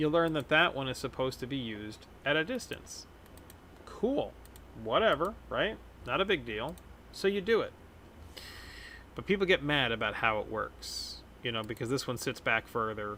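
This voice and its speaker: With an American accent, a man speaks at a moderate pace in a fairly high, bright, sharp voice with vocal fry, very wide pitch swings, and long, frequent pauses. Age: 30s. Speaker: gaming streamer. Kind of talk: casual gameplay commentary.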